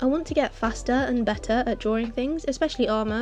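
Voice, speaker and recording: Fairly quick, fairly even speech over noticeable background noise. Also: woman. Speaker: digital artist. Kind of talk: casual painting process voiceover. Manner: rambling, chatty.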